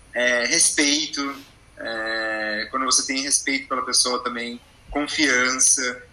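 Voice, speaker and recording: The speech moves at a very slow pace with monotone, flat intonation. Noticeable background noise is present. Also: man, medium pitch for a man. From Goiás, Brazil (small inland town). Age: 20s. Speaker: advertising professional. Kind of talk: casual chat. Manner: halting.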